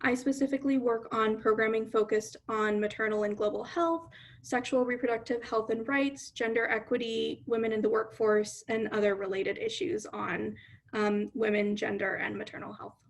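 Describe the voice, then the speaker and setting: Using a normal speaking voice, this woman keeps a moderate pace, her pitch fairly high and her intonation fairly even. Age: young. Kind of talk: panel discussion answer.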